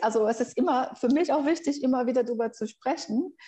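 Very fast speech from a woman with a high pitch, a dark, mellow tone and ordinary pitch variation. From Brazil. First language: Brazilian Portuguese (speaking German). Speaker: researcher and language teacher. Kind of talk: interview.

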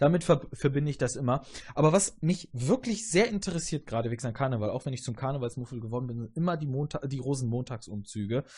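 A man talks very fast at a medium pitch with lively intonation. His voice is somewhat breathy against a quiet background. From southern Germany, Augsburg area. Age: 30s. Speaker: podcast host. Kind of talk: casual chat.

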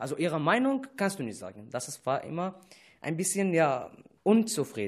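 A man with an Arabic accent, very wide pitch swings, and a quiet background. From Syria. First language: Arabic (speaking German). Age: 20s. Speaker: refugee radio presenter. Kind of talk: casual chat. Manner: halting.

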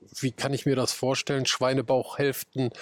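Medium pitch from a man, with a dry, close sound and no echo. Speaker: podcast host. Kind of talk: casual interview; scripted narration. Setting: outdoors.

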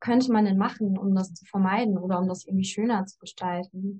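This woman's voice is somewhat breathy and medium in pitch. She talks at a fairly quick pace with fairly even intonation. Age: 20s. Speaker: student. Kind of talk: casual interview chat.

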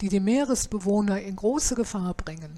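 A woman speaks with a fairly high pitch and a dark, mellow tone. Her voice is somewhat breathy. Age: 70s. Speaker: podcaster. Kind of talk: scripted narration.

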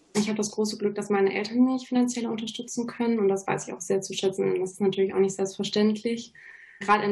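A woman talks at a very fast pace with a medium pitch and a monotone, flat intonation. Noticeable background noise sits behind her. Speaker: university student. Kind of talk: studio talk show interview. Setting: studio.

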